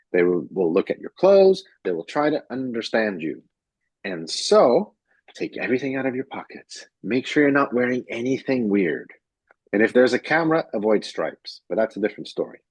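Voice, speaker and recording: At a fairly quick pace, a man swings his pitch very widely in a dry, close recording with no echo and a quiet background. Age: 40s. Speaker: pitch trainer. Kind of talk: workshop talk. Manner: fast; high energy.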